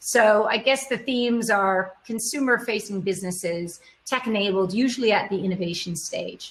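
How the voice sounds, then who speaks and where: The voice is somewhat breathy, with a North American accent. Pitch varies in an ordinary way at a moderate pace. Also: woman, fairly high pitch for a woman, hardly any pauses. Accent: North American, could pass for US. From Canada. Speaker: e-commerce executive, panelist. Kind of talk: panel discussion.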